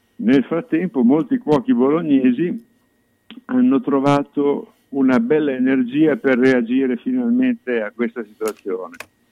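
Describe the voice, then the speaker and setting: Using a fairly high pitch with very wide pitch swings, a man talks at a fairly slow pace. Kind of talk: casual radio chat.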